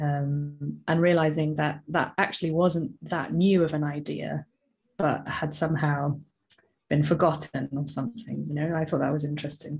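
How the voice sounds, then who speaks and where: A woman talks at a moderate pace in a very deep, low pitch, her monotone, flat delivery marked by vocal fry. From England, raised in Southeast Asia from age five. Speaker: workplace coach and podcaster; workplace coach, podcaster. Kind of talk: casual interview. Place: home room. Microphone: earbuds.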